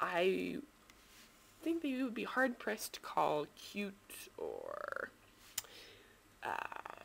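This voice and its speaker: Very slow delivery with long, frequent pauses over noticeable background noise. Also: woman. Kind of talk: bookbinding tutorial demonstration. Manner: casual, hesitant.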